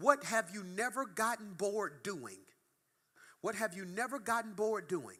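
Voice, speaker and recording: A man raises and projects his high-pitched voice, animated and bright with a sharp tone, at a moderate pace. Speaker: pastor. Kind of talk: sermon.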